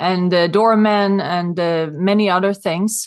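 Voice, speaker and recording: With a Swedish accent, the speaker goes at a very slow pace against a quiet background. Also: woman. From rural Sweden. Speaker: real estate consultant and author. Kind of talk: interview.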